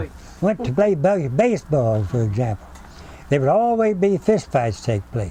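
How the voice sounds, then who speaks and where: With a Texan accent, a man with a fairly high pitch talks at a moderate pace, his pitch swinging very widely, against noticeable background noise. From Central Texas. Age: 80s+. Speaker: retired school teacher. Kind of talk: oral history interview answer.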